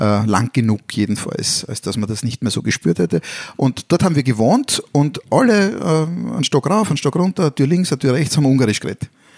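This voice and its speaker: With vocal fry and lively intonation, a man speaks at a moderate pace in a dry, close sound with no echo. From Vienna, Austria (Brigittenau district). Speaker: podcast co-host. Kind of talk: casual chat.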